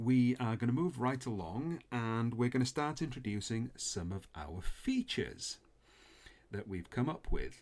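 Lively intonation colors a man's plain, everyday voice, pitched in the middle range. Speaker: podcast host. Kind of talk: casual chat. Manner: chatty, humorous.

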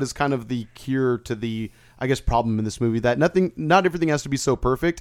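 The speech runs at a very fast pace with lively intonation. The recording is very clean, with a silent background. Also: man. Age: 30s. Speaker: podcast host. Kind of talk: casual chat. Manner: casual, slangy.

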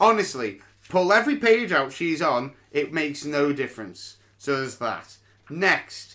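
A man speaks in a British accent with a bright, sharp tone. His pitch swings very widely at a moderate pace. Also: fairly high pitch for a man. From UK. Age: 30s. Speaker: podcast host and comedian. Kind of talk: casual solo podcast monologue.

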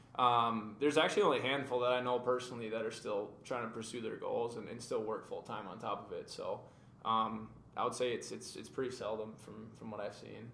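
Over noticeable background noise, a man speaks at a fairly quick pace with big swings in loudness. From Minnesota (Maple Grove). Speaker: soccer player. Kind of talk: interview. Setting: studio.

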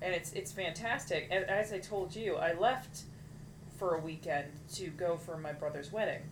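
Noticeable background noise sits behind a woman's fairly low voice. She keeps a moderate pace with ordinary pitch variation. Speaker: podcast co-host. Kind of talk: casual chat.

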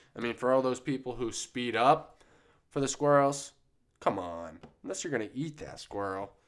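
With an ordinary speaking voice, a man speaks at a moderate pace and medium pitch, his intonation lively. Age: 20s. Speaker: podcast host. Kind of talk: casual solo monologue. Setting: studio. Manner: rambling, filler-heavy, relaxed.

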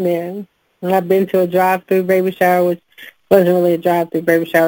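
In a dry, close recording with no echo, a woman with a fairly low pitch speaks in a monotone, flat intonation. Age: 30s. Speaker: podcast host. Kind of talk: casual chat.

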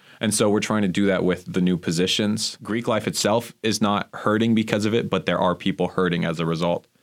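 A man with an American accent and an ordinary speaking voice talks at a fairly quick pace and fairly low pitch. His intonation is fairly even, his loudness very even, on a very clean recording with a silent background. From Miami, Florida. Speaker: divinity graduate student. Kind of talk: casual chat.

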